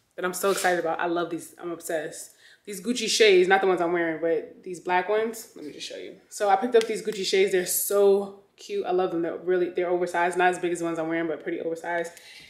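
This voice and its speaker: A woman speaks at a very fast pace with fairly even intonation. There is audible room echo. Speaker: fashion vlogger. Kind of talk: casual vlog chat. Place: home room. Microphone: phone near.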